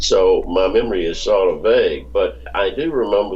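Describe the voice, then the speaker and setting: A man at a very slow pace, with audible room echo. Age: 70s. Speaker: author and researcher. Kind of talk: interview. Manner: halting.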